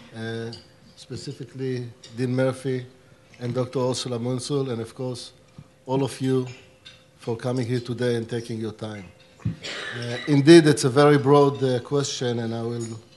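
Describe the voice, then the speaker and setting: Over noticeable background noise, a man talks fairly slowly at a medium pitch, his intonation monotone and flat, with long, frequent pauses. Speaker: diplomat. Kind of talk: panel discussion.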